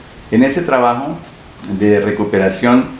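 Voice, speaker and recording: Audible room echo mixes with noticeable background noise throughout the recording. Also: man. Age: 60s. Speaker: local historian and journalist. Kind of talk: interview. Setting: at home. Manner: hesitant with fillers.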